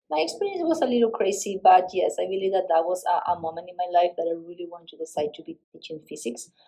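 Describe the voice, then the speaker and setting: A woman with a Uruguayan accent speaks very fast with hardly any pauses, fairly low in pitch and dark and mellow in tone, with ordinary pitch variation and big swings in loudness. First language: Spanish. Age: 40s. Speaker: physics teacher. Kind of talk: interview.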